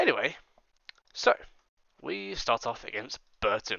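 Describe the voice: A man puts on a hoarse character voice at a medium pitch, speaking at a fairly slow pace.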